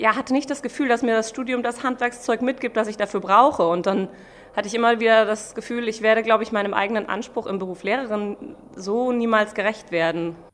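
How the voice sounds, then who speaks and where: Her voice is unremarkable, a woman speaking at a fairly quick pace with a fairly high pitch and fairly even intonation. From Germany, Mainz. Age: 30s. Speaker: pastry chef. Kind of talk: interview.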